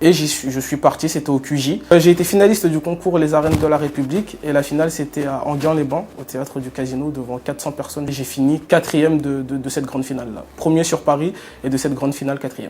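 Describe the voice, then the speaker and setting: Speaking at a very fast pace with hardly any pauses, a man uses a fairly high pitch over noticeable background noise. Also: fairly even intonation. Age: 20s. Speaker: journalism student. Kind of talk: testimony.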